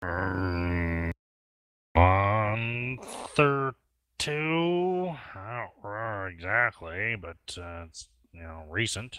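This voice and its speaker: In a put-on character voice, a man speaks very slowly at a fairly low pitch with big swings in loudness, on a very clean recording with a silent background. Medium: actual play.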